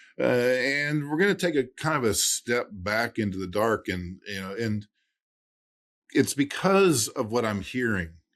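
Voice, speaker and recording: A man with very wide pitch swings on a very clean recording against a silent background. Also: medium pitch for a man, fairly slow pace. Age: 60s. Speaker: estate planning attorney and podcast host. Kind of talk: casual interview chat. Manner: hesitant, many fillers and restarts.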